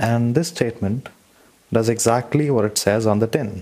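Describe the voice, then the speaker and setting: A man speaks over noticeable background noise. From India. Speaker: listener sharing a mantra. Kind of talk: recorded personal testimony.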